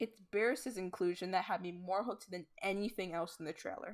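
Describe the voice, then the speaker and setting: A woman's ordinary speaking voice at medium pitch, with ordinary pitch variation and a fairly quick pace. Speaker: YouTuber, Star Wars reviewer. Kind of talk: review, reading from script. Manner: casual, chatty.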